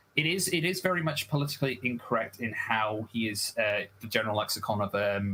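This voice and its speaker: A man at a medium pitch and fairly quick pace, with noticeable background noise. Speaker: debate guest. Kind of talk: heated debate.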